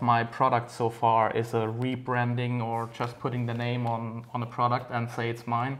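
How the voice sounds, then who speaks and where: Speaking with a non-native accent at a medium pitch, a man is heard with audible room echo. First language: not English. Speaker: RC racer and parts maker. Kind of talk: casual interview.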